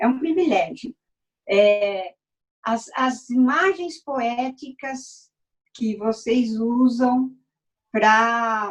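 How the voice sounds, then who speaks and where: Her pitch high and her intonation lively, a woman speaks. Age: 70s. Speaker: dancer and performer. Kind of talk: casual chat. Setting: video call. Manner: halting.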